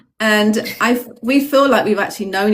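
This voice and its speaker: A woman speaks in a British accent with fairly high pitch. Her intonation is lively. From UK, Jamaican family. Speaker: spiritual guest. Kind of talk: casual livestream chat. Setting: TikTok livestream.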